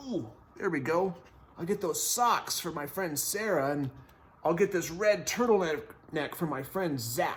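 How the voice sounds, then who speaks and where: Using a put-on character voice, a man speaks at a moderate pace in a high pitch. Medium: read story. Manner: eager, expressive.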